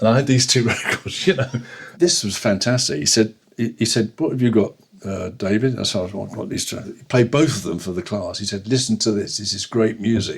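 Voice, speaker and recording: In a London accent, a man speaks at a fairly quick pace with a medium pitch, ordinary pitch variation and a somewhat breathy quality. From London, England. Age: 80s+. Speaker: jazz bassist. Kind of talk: interview. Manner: halting.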